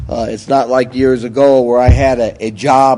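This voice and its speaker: A man's dark, mellow tone with a Bronx accent, delivered in a flat monotone. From New York, the Bronx. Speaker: recovery speaker. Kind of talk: testimony.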